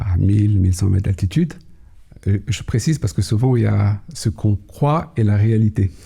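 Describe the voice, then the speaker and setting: A man speaks in a calm, dark, mellow tone that is somewhat breathy, at a fairly low pitch. His intonation is lively, his pace moderate and his loudness very even. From Kabylie, Algeria, raised Paris region from age six. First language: Kabyle (Berber) (speaking French). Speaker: cybersecurity executive. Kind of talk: podcast interview. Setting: studio. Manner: hesitant, many fillers.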